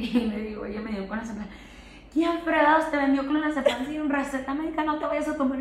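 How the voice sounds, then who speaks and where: Over noticeable background noise and audible room echo, a woman speaks at a fairly quick pace with a high pitch and ordinary pitch variation. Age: 20s. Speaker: podcast guest sharing personal healing experience. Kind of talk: casual chat.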